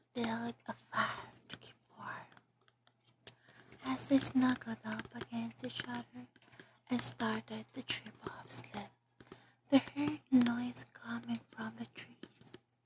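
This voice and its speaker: Someone whispers at a very slow pace, stopping for long pauses again and again. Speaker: ASMR artist. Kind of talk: ASMR scary-story reading, whispered late-night. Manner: whispered, calming.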